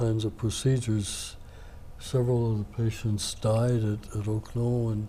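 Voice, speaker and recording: Speaking at a moderate pace, a man with a medium pitch and a dark, mellow tone sounds somewhat breathy, his intonation monotone and flat. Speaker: navy veteran. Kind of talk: interview answer.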